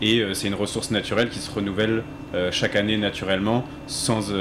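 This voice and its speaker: A man at fairly low pitch and a moderate pace, with noticeable background noise. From Alsace. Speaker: company founder, hunter. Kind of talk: panel discussion.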